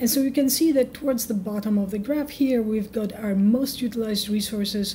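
Her fairly high pitch and dark, mellow tone come with fairly even intonation as the woman speaks. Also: moderate pace.

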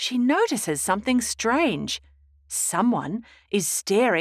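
Lively intonation shapes the delivery. It is a natural reading voice.

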